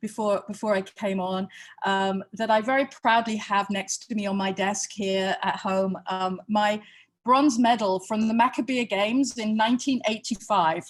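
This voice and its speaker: A woman speaks with a British accent at a medium pitch. Her pace is fairly slow and her intonation fairly even. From Britain. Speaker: museum experience executive. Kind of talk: online workshop lecture. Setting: video call from home. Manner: halting, many fillers.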